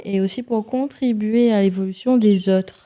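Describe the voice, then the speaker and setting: Speaking with a Réunion accent, a woman talks at a fairly slow pace with medium pitch and a dark, mellow tone. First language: Réunion Creole (speaking French). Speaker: singer-songwriter. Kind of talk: podcast interview. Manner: halting.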